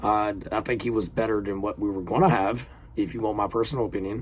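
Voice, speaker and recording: Recorded very cleanly against a silent background, this speaker talks at a very fast pace in an animated tone with a Southern accent. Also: man. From US South. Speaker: reaction video creator. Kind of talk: casual reaction commentary. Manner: casual, halting with fillers.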